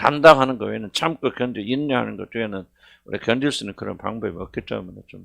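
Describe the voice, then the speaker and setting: A man at medium pitch and a very fast pace, ordinary pitch variation and big swings in loudness over a quiet background. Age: 70s. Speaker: senior pastor. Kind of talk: sermon. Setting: church worship service. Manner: conversational, halting with fillers.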